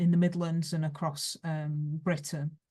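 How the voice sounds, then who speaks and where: Against a quiet background, a woman with a Lancashire accent speaks at a moderate pace in a somewhat breathy, fairly low voice with a dark, mellow tone. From northern England, Rochdale, Lancashire. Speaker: history professor. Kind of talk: lecture. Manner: hesitant, many fillers.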